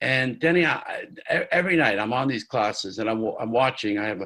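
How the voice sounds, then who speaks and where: Talking at a fairly quick pace, a man uses a plain, everyday voice at medium pitch with lively intonation. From New York, Catskills. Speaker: music producer. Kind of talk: interview.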